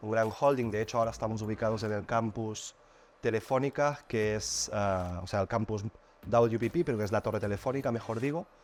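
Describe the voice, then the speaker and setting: A man with a medium pitch talks at a very fast pace with ordinary pitch variation. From Catalonia, Spain. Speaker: advertising agency executive. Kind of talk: podcast interview. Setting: studio.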